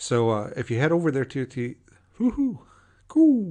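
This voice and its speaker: The setting is quiet. A man does the talking. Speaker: podcast host. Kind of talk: casual podcast monologue. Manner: fast; casual, with many fillers.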